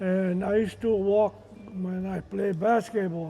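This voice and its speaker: Over music in the background, a man speaks very slowly at a high pitch with fairly even intonation. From Hawaii, Big Island (Kohala). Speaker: retired basketball coach. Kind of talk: personal storytelling. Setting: community reunion stage with audience.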